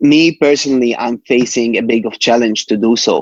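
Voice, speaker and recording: A man speaks in a Palestinian accent at a medium pitch, with fairly even intonation. His pace is moderate, and the sound is dry and close with no echo. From Jerusalem, Palestine. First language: Arabic. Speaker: rapper. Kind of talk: casual interview chat. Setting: podcast interview. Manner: halting, many repetitions and fillers.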